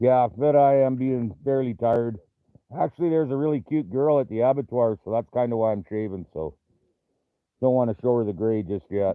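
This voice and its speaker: A man with a Canadian accent, medium pitch, ordinary pitch variation, fairly quick pace. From Canada. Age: 60s. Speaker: trapper and livestream host. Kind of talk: casual livestream chat reading viewer comments. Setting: live video stream.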